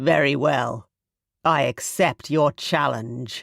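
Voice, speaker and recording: Growling in a put-on character voice, a man with a fairly high pitch speaks at a very slow pace. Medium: read story. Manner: steely, cold.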